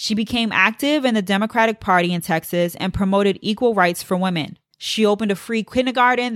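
The pace is very fast. It is a woman talking. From Puerto Rican heritage. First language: English (Spanish not first language). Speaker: history podcast host. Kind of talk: scripted narration.

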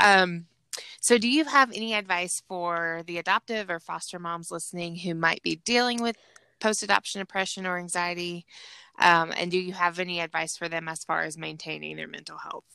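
A woman with a Southern US accent speaks at a fairly quick pace in a fairly low voice with a bright, sharp tone, her pitch varying in an ordinary way and her loudness in big swings. The recording is very clean, with a silent background and a dry, close sound with no echo. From Georgia. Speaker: podcast host. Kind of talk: casual interview chat.

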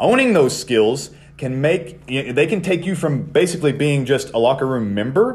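A man talks at a moderate pace with vocal fry. His fairly high pitch swings very widely. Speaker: podcast host and wrestling coach. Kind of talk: podcast talk about wrestling promos.

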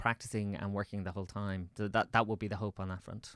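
A man with a Dublin accent and fairly low pitch, in a very clean recording with a silent background and a dry, close sound with no echo. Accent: Dublin Irish. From Ireland, Swords (north County Dublin). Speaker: theatre director and writer. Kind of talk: casual interview chat.

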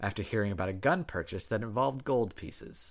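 In a very clean recording with a silent background, a man with an ordinary speaking voice talks at a fairly low pitch with ordinary pitch variation. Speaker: podcast co-host. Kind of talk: casual chat, true crime storytelling. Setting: living room recording, at home. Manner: playful, banter.

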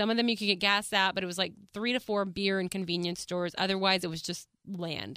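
In a bright, sharp, animated tone, a woman talks at a very fast pace with hardly any pauses. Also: medium pitch for a woman. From Texas, small town north of Dallas. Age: 30s. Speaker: podcast host. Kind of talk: casual solo podcast monologue. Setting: studio. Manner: animated, frequent laughter.

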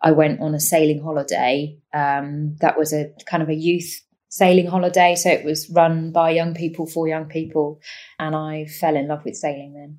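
On a very clean recording with a silent background, a woman with a southern English accent speaks at a moderate pace in a very deep, low pitch, her intonation monotone and flat while her loudness swings widely. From eastern England, Cambridgeshire. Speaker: professional sailor. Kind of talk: interview.

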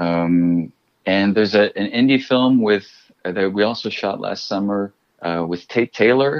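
A man with an American accent speaks in an unremarkable speaking voice, fairly low in pitch, at a moderate pace. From US Midwest, Chicago. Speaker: actor. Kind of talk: interview storytelling.

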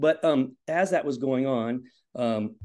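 With ordinary pitch variation, a man speaks over a quiet background. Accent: Midwestern American. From Indiana. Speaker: high school cross country coach. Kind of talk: casual interview.

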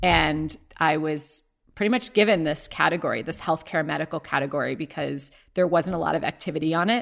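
Using an American accent, a woman with a very deep, low voice and vocal fry talks at a fairly quick pace. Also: ordinary pitch variation, very clean recording, silent background. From Ohio, US Midwest. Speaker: company founder. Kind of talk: interview.

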